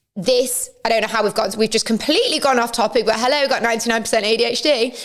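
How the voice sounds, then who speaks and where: Noticeable background noise sits behind a woman speaking at a very fast pace. Her pitch is fairly high, with ordinary variation. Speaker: podcast host, reality TV personality. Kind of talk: casual monologue. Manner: loud.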